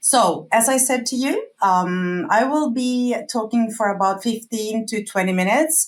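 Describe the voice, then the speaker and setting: A somewhat breathy woman with a fairly high pitch. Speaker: customer feedback company employee. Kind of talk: webinar presentation. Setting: online webinar.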